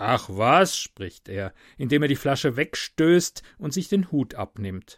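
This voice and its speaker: Recorded very cleanly against a silent background, with a dry, close sound and no echo, a man speaks at a fairly slow pace with very wide pitch swings and vocal fry. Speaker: podcaster. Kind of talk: reading aloud.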